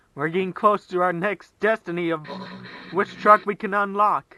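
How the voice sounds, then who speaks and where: Speaking at a fairly slow pace, a man uses a raised, projected voice with a bright, sharp tone. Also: dry, close sound with no echo. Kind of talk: video game commentary.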